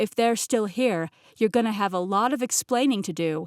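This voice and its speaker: A woman uses a put-on character voice, pitched fairly high and delivered at a moderate pace. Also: dry, close sound with no echo. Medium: read story.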